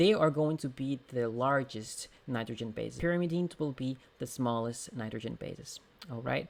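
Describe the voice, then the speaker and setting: At a moderate pace, a man with a Portuguese accent speaks at a medium pitch with ordinary pitch variation. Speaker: exam prep tutor. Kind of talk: tutorial; casual chat. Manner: halting.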